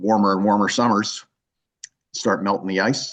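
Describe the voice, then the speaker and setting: At a moderate pace, a man speaks at a fairly low pitch over a quiet background. It is an unremarkable speaking voice. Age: 60s. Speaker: author and scientist. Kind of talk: interview with audience Q&A. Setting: live event with audience.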